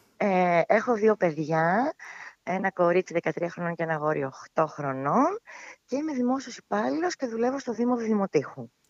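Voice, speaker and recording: Dry and close with no echo, a woman's medium-pitched voice makes very wide pitch swings at a fairly slow pace. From Greece, Evros (Thrace), Alexandroupoli. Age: 40s. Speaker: civil servant and mother. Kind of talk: casual interview.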